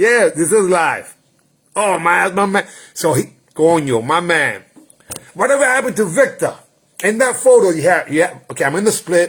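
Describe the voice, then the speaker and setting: Animated in tone, a man speaks at a fairly quick pace with lively intonation. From New York City (the Bronx), Puerto Rican heritage. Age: 60s. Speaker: martial arts grandmaster. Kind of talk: casual livestream chat. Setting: livestream.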